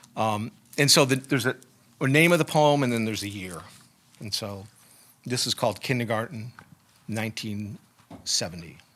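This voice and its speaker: Lively intonation marks this moderate-paced speech, broken by long, frequent pauses. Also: man, medium pitch for a man. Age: 60s. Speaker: poet. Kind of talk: casual chat. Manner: halting.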